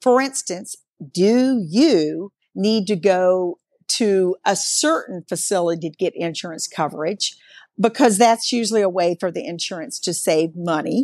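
A woman's unremarkable speaking voice at medium pitch, fairly slow and with lively intonation, in a dry, close sound with no echo. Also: quiet background. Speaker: bariatric dietitian. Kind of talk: interview discussion.

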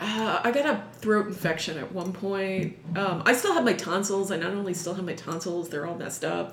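Talking at a fairly quick pace, a woman with an American accent uses a medium pitch, with audible room echo and noticeable background noise. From New York City (Manhattan, Upper East Side). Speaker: sword swallower and performer. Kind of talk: interview.

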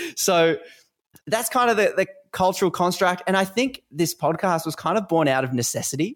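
Lively intonation in an Australian accent at a moderate pace, in a very clean recording with a silent background. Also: man. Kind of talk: casual interview conversation.

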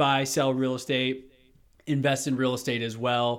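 Here a man speaks at a medium pitch. He has an American accent. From Texas, Houston. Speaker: real estate agent and podcast host. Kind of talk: interview. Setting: video call.

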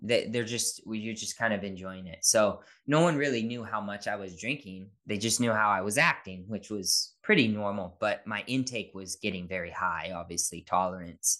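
The tone is bright and sharp, with ordinary pitch variation. Hardly any pauses break the speech over a quiet background. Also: man, fairly low pitch for a man, moderate pace. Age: 30s. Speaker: dad content creator and podcaster. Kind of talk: casual interview chat.

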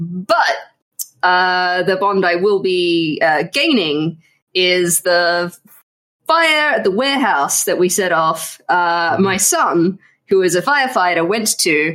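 Speaking very slowly at very even loudness, a woman has a bright, sharp tone, medium pitch and lively intonation. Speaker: tabletop game player. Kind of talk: tabletop role-playing game.

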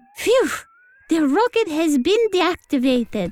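Very wide pitch swings mark speech that moves at a fairly slow speed. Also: woman, extremely high pitch for a woman. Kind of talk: comic spy spoof radio acting.

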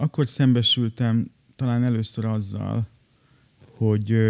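A man's very slow delivery with fairly even intonation, in a dry, close sound with no echo. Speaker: writer. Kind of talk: personal narrative. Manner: hesitant with repetitions.

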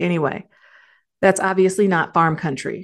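Against a quiet background, a woman with an American accent uses an ordinary speaking voice, fairly low in pitch, with fairly even intonation at a moderate pace. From Detroit area, Michigan. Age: 40s. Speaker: nurse and podcast host. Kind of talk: solo podcast monologue. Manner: casual, conversational.

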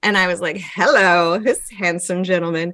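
A woman speaks with a Pacific Northwest accent. Her pitch sits in the medium range. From Yakima, eastern Washington. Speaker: performance artist. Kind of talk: casual chat. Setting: video call.

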